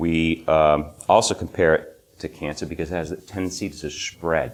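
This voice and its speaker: With a New England accent, a man speaks at a moderate pace in a very deep, low pitch. His tone is relaxed, and his intonation is fairly even. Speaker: legal system critic, presenter. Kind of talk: conference presentation. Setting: stage with small audience. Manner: informal, relaxed.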